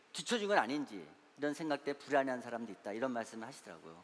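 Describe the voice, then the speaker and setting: This man's pitch swings very widely as he talks. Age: 60s. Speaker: church elder and investment adviser, guest lecturer. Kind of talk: lecture. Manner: halting, many fillers.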